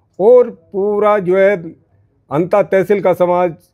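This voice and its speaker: With a dark, mellow tone, a man speaks at a high pitch. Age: 60s. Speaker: community leader. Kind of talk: interview. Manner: halting.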